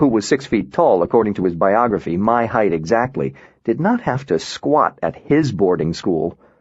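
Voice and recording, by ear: Someone reads aloud here, using a natural voice.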